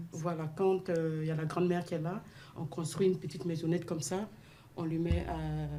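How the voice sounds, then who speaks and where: A woman with a fairly low pitch speaks at a fairly quick pace. Her intonation is monotone and flat, with noticeable background noise behind her. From sub-Saharan Africa. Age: 40s. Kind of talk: radio discussion.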